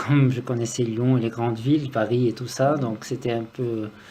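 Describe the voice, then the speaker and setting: The intonation stays fairly even. There is noticeable background noise. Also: man. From Lebanon, Beirut. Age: 40s. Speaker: music student. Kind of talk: interview. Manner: hesitant.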